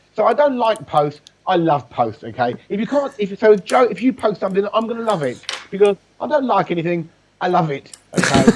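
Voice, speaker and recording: Loud and animated, a man talks at a fairly quick pace in a high pitch with very wide pitch swings. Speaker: business networking expert. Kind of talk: casual interview chat. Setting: live video call.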